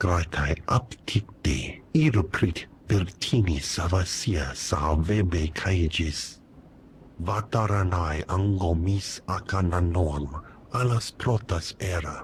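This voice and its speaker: A man performs a put-on character voice at a very slow pace. His pitch sits very deep and low. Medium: video game.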